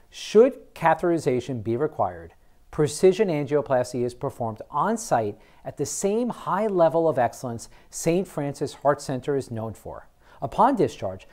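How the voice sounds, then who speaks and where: The man's intonation is lively as he talks at a medium pace, with little sound behind him. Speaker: program host. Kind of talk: presenter script to camera. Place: studio. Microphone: lapel.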